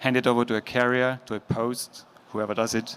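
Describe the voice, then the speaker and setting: The speaker has an Austrian accent and a moderate pace. Intonation stays fairly even. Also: man. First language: German. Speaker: logistics executive. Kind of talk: conference talk. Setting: stage with audience. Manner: casual.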